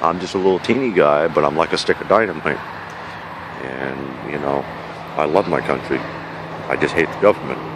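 A man with a New York accent speaks at a very deep, low pitch with ordinary pitch variation. The sound is dry with no echo, and there is noticeable background noise. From New York, the Bronx. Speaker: vlogger living outdoors. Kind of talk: casual vlog monologue. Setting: outdoors at a campsite. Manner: animated. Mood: angry, passionate rant. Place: forest. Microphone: phone near.

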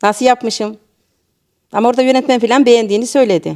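At a very fast pace, a woman talks in a high pitch with a dark, mellow tone. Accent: Central Anatolian. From Niğde, central Anatolia, Turkey. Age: 50s. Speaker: amateur theatre actor. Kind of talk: interview.

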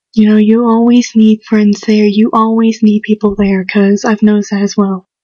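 A woman whispers, the sound dry with no echo over a quiet background. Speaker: home video maker. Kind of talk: casual talk to camera awareness video. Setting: indoors at home, quiet. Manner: whispered, hushed. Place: home room.

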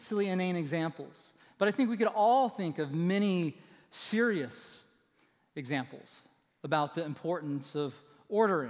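A man's lively intonation at a moderate pace, with long, frequent pauses and a quiet background. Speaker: pastor. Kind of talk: sermon. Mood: light, humorous. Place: church. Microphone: headset.

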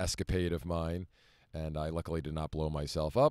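A man speaks at a fairly quick pace with a very deep, low pitch. The sound is dry with no echo, over a quiet background. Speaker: vlogger living in his vehicle. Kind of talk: casual vlog chat. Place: car. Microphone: phone near.

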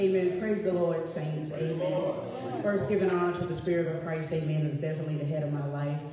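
The voice carries a strong room echo. Light background noise sits underneath. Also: woman. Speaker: church member making announcements. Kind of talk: church announcements. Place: church. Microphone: camera far.

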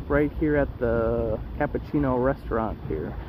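A man's voice sounds dry, with no echo. Noticeable background noise runs underneath. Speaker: cruise vlogger. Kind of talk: casual vlog chat. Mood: playful, relaxed. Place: waterside. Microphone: phone near.

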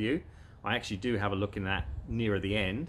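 A man speaks at a fairly quick pace in a bright, sharp tone, with ordinary pitch variation over light background noise. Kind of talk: casual vlog chat. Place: garden.

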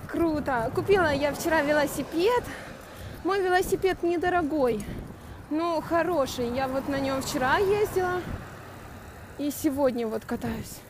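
Pausing long and often, a woman with a high pitch talks at a fairly slow pace with lively intonation, her dry sound carrying no echo over noticeable background noise. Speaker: cyclist vlogger. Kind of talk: casual vlog chat. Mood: cheerful, chatty. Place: bicycle. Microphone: phone near.

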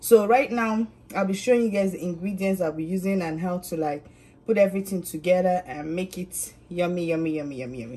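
A woman's somewhat breathy voice at a fairly quick pace, with ordinary pitch variation. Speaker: home cook vlogger. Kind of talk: casual cooking tutorial. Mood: cheerful, friendly. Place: kitchen. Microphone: phone near.

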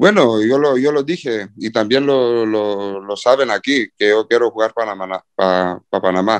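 In a medium pitch with ordinary pitch variation, a man speaks at a fairly slow pace against a quiet background. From Cyprus. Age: 20s. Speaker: professional footballer. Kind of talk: interview. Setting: video call. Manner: halting.

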